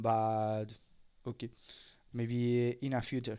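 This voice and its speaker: Over a quiet background, a man with a non-native accent speaks at a medium pitch in a dark, mellow tone with monotone, flat intonation. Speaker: cybersecurity tutorial creator. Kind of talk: tutorial. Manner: halting, many fillers.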